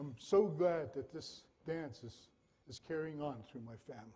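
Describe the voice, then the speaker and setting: A man's fairly high pitch, somewhat breathy, with a dark, mellow tone and ordinary pitch variation. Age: 60s. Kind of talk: storytelling introduction at a performance.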